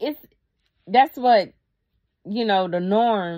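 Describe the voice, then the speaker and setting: Against a quiet background, a woman speaks at medium pitch with lively intonation. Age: 30s. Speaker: YouTuber. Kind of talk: casual vlog monologue. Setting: at her dad's house. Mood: earnest, reflective. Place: home room. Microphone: phone near.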